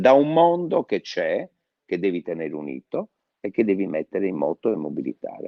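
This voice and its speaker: A man talks at a moderate pace. His voice sounds dry and close, without any echo. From Sardinia, Quartu. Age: 60s. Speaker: mayoral candidate, former mayor. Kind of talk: interview. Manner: hesitant fillers.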